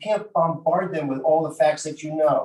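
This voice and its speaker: Fairly high pitch from a man with a plain, everyday voice, at a moderate pace. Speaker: mock trial judge giving feedback. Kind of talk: critique to students.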